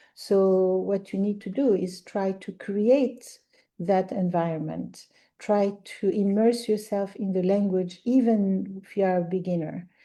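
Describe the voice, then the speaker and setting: A woman with an Arabic accent talks at medium pitch and a fairly slow pace, with a dark, mellow tone and fairly even intonation over a quiet background. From Algeria. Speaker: language teacher. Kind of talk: podcast interview.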